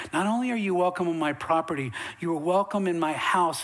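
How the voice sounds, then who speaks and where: Through noticeable background noise, a man with an American accent talks at a fairly quick pace, his high pitch showing ordinary pitch variation. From Western North Carolina mountains. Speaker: pastor. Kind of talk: sermon. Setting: church. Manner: animated.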